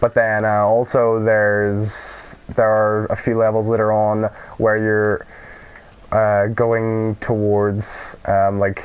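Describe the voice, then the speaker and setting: A man's fairly low-pitched voice with a Northern Irish accent, very slow, flat and monotone, at very even loudness, over noticeable background noise. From Northern Ireland. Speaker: gaming YouTuber. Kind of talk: let's play commentary. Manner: casual, rambling with fillers.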